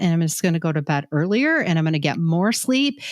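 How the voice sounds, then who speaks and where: Her pitch swings very widely as a woman talks at a fairly quick pace. The recording is very clean, with a silent background. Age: 60s. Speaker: healthcare leadership coach. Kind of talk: podcast conversation.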